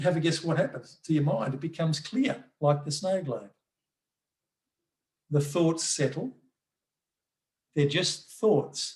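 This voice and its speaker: This man has an Australian accent. His pitch is fairly high. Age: 60s. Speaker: mindfulness workshop presenter. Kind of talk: online workshop talk. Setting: video call. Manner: halting, with repeated words and fillers.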